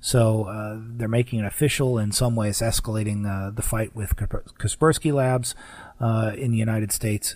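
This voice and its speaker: On a very clean recording with a silent background, a man with a fairly low, somewhat breathy voice speaks at a moderate pace with fairly even intonation. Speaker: radio host. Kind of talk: radio host patter, scripted-sounding show intro and segment bridges. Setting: radio studio, broadcast on AM stations.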